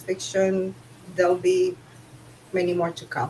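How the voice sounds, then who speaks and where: In a Romanian accent, a woman at a medium pitch speaks at a fairly slow pace over noticeable background noise. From Romania, Bucharest. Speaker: author. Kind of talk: casual chat.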